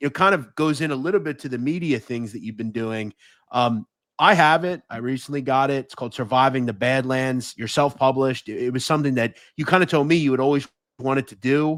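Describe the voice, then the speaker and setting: A man with an ordinary speaking voice talks at medium pitch and a fairly quick pace, with ordinary pitch variation. Loudness swings widely on this very clean recording with a silent background. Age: 30s. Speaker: podcast host. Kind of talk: interview.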